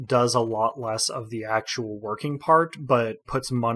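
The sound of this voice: The reading voice here is unforced.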